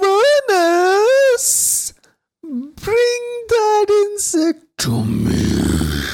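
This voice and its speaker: A put-on character voice, gravelly and extremely high in pitch, at a very slow pace. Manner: commanding, booming.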